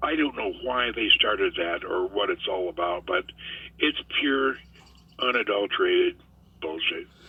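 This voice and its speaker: Moderately paced male speech amid noticeable background noise. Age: 70s. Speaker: guest pilot discussing UFO topics. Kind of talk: casual interview chat.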